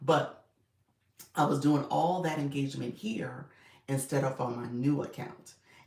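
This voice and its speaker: A man speaks in a raspy, put-on character voice, fairly high in pitch. His pace is moderate, with long, frequent pauses. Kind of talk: casual, confiding.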